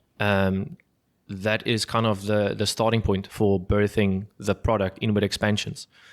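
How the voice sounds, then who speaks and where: With a South African accent, a man speaks fairly low at a fairly slow pace and with fairly even intonation, on a very clean recording with a silent background. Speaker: business founder and podcast host. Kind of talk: business podcast conversation. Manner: halting, many fillers and repeats.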